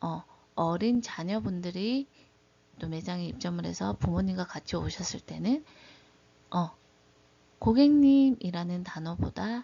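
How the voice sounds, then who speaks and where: With a strong Gyeongsang accent, a woman speaks at a very slow pace. Her fairly low, somewhat breathy voice has lively intonation. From Daegu, South Korea. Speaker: beauty/hairdressing instructor. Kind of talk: lecture.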